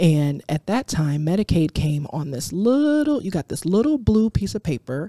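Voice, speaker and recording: Speaking with an American accent, a woman with a fairly low pitch and a dark, mellow tone swings very widely in pitch at a moderate pace with hardly any pauses, in a dry, close sound with no echo and a very clean recording with a silent background. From Detroit, Michigan, US. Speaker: public health expert. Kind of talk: podcast interview.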